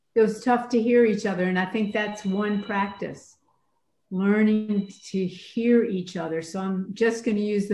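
Her American accent comes through as a woman speaks in a dark, mellow, somewhat breathy tone with fairly even intonation. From Atlanta, US South. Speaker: priest and retired professor. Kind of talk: prayer and discussion.

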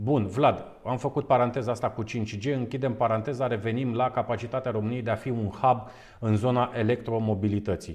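A man's normal speaking voice, medium pitch and fairly even intonation, at a fairly quick pace. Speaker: webinar host. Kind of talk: webinar interview. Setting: online webinar with on-location segment.

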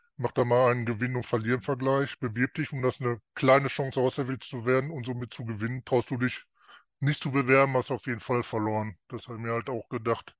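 Against a quiet background, a man talks fairly quickly in a flat, monotone way, the sound dry and close with no echo. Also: medium pitch for a man. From North Rhine-Westphalia, Germany. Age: 50s. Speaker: coaching client. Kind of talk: interview.

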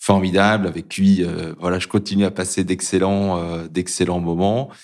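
The recording is very clean, with a silent background. A man speaks at a moderate pace in a very deep, low pitch with monotone, flat intonation. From Brittany, France. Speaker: corporate learning director. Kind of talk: interview. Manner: halting.

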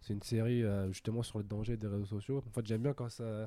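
A man speaks at a medium pitch in a dark, mellow tone. The recording is very clean, with a silent background. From France, Paris suburbs (Sarcelles), Algerian heritage. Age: 20s. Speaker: business school student. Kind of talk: casual interview. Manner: hesitant, many fillers.

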